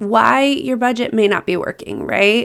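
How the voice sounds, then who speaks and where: With lively intonation and vocal fry, a woman talks at a fairly high pitch. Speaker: podcast host, budgeting coach. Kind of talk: casual podcast monologue.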